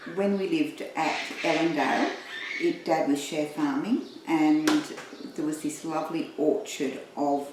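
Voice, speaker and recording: Against noticeable background noise and audible room echo, a woman speaks at a moderate pace. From Australia, central west New South Wales. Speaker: retired teacher and librarian. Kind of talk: casual life-story interview.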